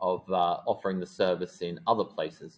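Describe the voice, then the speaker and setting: With an Australian accent, a man speaks at a moderate pace using lively intonation. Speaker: teacher. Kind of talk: lecture. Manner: hesitant, with many fillers.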